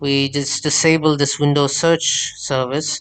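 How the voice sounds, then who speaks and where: Very slow and fairly high-pitched, a man speaks with a non-native accent. The background is quiet, and the sound is dry and close with no echo. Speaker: tech tutorial creator. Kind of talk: screen-recorded tech tutorial. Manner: hesitant, many filler sounds.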